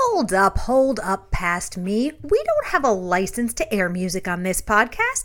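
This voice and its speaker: Over noticeable background noise, a woman speaks at a fairly slow pace with hardly any pauses. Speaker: podcast interviewer. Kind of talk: casual interview. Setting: in person.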